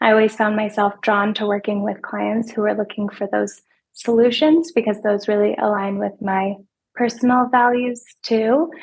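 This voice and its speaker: A soft-spoken, somewhat breathy voice at a moderate pace. The intonation stays fairly even. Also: woman. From small rural town. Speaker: financial advisor. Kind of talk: podcast interview.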